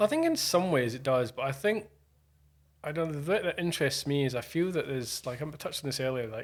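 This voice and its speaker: Talking very fast, a man speaks with a Scottish accent. His pitch is fairly high, with ordinary variation. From Scotland. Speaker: DJ and music producer. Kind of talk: casual chat.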